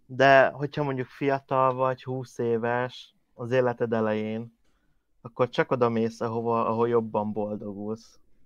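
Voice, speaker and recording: Against a quiet background, a man speaks at a fairly slow pace and medium pitch in a monotone, flat intonation, the sound dry and close with no echo. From Hungary. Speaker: podcast co-host. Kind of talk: casual chat.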